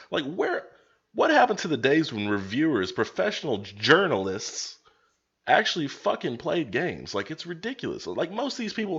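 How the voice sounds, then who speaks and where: Fairly high in pitch, a man talks at a fairly quick pace in an animated tone, with very wide pitch swings and vocal fry. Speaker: gaming vlogger. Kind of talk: vlog rant. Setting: webcam recording.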